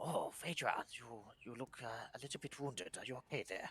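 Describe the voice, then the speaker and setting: The speaker uses a put-on character voice with ordinary pitch variation. The pace is moderate. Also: man, medium pitch for a man. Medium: actual play. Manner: hesitant, stammering.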